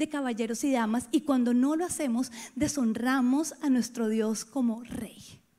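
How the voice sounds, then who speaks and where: Her voice is high-pitched for a woman, with ordinary pitch variation. She talks at a fairly slow pace. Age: 30s. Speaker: pastor. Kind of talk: sermon.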